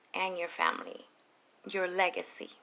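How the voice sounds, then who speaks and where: A woman speaks quietly at a moderate pace. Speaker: tarot reader. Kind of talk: tarot reading monologue. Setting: recording late at night at home. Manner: quiet, keeping voice down.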